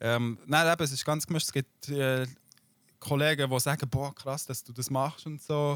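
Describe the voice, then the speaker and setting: Here a man talks at a fairly high pitch. His pace is moderate. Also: fairly even intonation. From Switzerland. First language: Swiss German (speaking German). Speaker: YouTuber and streamer. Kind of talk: casual interview.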